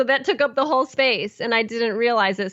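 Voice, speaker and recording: With an American accent, a woman speaks in a plain, everyday voice at a fairly high pitch and ordinary pitch variation. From Illinois, Chicago area. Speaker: horn player, podcast host. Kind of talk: casual interview chat.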